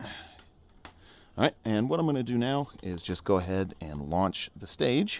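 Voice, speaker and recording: Using an American accent, a man talks at a fairly slow pace and fairly low pitch, with very wide pitch swings and long, frequent pauses. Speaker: gaming YouTuber. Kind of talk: tutorial. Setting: home, playing a VR sim game. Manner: casual, filler-heavy.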